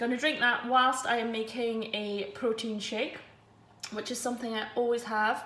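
Delivered at a moderate pace in a monotone, flat intonation, the voice comes with light background noise and audible room echo. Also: woman. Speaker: runner vlogger. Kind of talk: casual vlog chat. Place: kitchen. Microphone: phone near.

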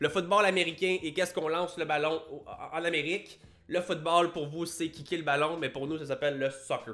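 Speaking at a fairly quick pace in a Quebec accent, a man with a high-pitched voice keeps his intonation fairly even. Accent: Québécois. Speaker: YouTuber and fitness coach; fitness youtuber. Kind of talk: casual vlog monologue. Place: home room. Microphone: studio mic.

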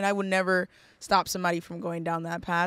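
Against a quiet background, a woman talks in a monotone, flat intonation, the sound dry with no echo. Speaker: interview guest. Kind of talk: interview answer. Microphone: studio mic.

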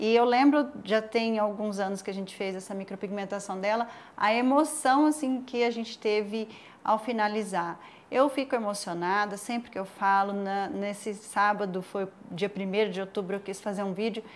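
A woman's ordinary speaking voice, medium-pitched, moving at a moderate pace. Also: ordinary pitch variation. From São José do Rio Preto, São Paulo interior, Brazil. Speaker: micropigmentation specialist. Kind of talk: interview. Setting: studio.

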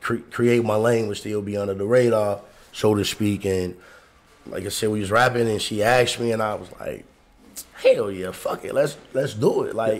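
The speaker keeps a moderate pace and fairly even intonation, with big swings in loudness. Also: man, fairly low pitch for a man. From Chicago. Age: 40s. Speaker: podcast co-host. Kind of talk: casual chat. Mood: relaxed, candid. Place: studio. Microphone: studio mic.

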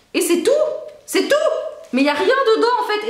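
Amid audible room echo, a woman speaks with very wide pitch swings. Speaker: YouTuber; vlogger. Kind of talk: casual vlog. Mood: amused, nostalgic. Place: home room. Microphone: camera far.

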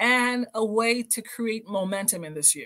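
A woman's bright, sharp tone at a fairly slow pace over a quiet background. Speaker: podcast host, motivational speaker. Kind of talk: motivational podcast talk. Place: home room.

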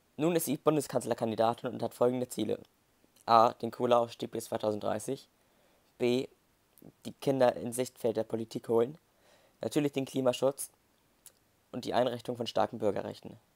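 A man with a medium pitch talks at a moderate pace with fairly even intonation and long, frequent pauses, in a dry, close sound with no echo on a very clean recording with a silent background. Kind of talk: moderated debate. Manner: halting.

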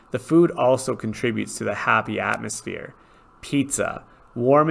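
Someone reads in an unforced reading voice.

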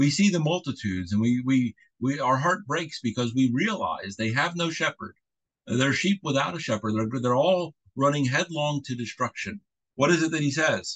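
A fairly high-pitched man at a moderate pace, lively in intonation, over a quiet background. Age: middle-aged. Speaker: pastor. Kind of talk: sermon. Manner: halting. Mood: earnest, fervent. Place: home room. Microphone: video call.

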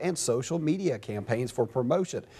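The man's tone is dark and mellow, with ordinary pitch variation. He keeps a moderate pace. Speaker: TV news anchor and reporter. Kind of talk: TV news anchor/reporter delivery.

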